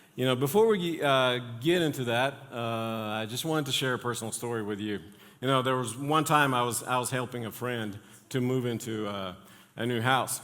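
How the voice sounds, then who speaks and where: Medium-pitched male voice with ordinary pitch variation, a moderate pace, long, frequent pauses, and audible room echo. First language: not English. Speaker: pastor. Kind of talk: sermon. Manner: halting, many fillers.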